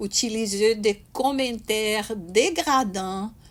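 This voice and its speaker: Speaking very slowly with a Brazilian accent, a woman uses a fairly high pitch and lively intonation. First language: Portuguese (speaking French). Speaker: spiritist speaker. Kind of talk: talk. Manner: halting, many hesitations and repetitions.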